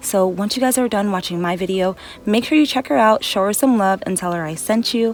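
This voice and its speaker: A woman's medium-pitched voice with ordinary pitch variation, a fairly quick pace and noticeable background noise. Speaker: lifestyle vlogger. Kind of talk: scripted voiceover; casual vlog talk to camera. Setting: home office. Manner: fast.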